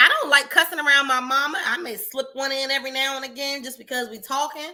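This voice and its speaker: Speaking very fast in a raised, projected voice, a woman has a high pitch, a bright, sharp tone and fairly even intonation. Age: 30s. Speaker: podcast co-host. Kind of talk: casual chat.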